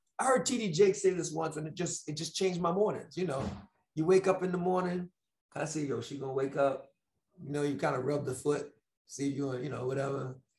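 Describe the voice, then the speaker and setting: Against a quiet background with audible room echo, a man speaks fairly quickly at a fairly high pitch with ordinary pitch variation. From New York. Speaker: motivational speaker. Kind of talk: motivational talk. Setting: video call. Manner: animated. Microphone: earbuds.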